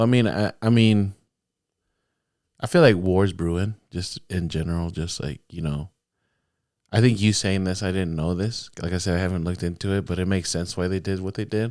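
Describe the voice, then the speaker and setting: Fairly quick and fairly even in intonation, a man talks with a very deep, low pitch. The recording is very clean, with a silent background. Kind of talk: casual chat. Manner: monotone.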